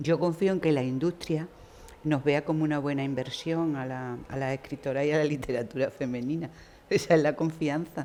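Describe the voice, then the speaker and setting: With a dark, mellow tone and a very deep, low pitch, a woman speaks at a moderate pace with fairly even intonation. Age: 60s. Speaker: writer. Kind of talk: panel discussion. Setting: university hall with live audience.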